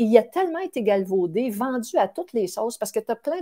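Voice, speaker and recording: A woman's voice has a dark, mellow tone, heard over a quiet background. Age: 50s. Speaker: stress researcher; guest. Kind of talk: interview. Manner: animated. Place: home room.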